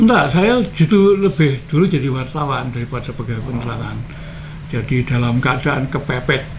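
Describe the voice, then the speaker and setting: Speaking at a moderate pace, a man with a medium pitch and ordinary pitch variation is heard through audible room echo and noticeable background noise. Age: 70s. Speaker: retired journalist and former activist. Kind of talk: interview. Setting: at his home.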